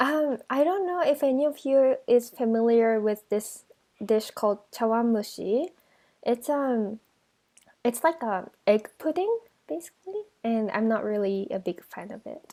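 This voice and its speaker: Speaking fairly slowly in a Japanese accent, a woman has a high, dark, mellow voice and lively intonation. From Osaka, Japan. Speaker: teacher. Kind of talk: interview answer.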